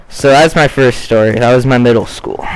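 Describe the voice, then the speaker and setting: Against noticeable background noise, a man speaks in a medium pitch with fairly even intonation. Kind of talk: casual gameplay commentary.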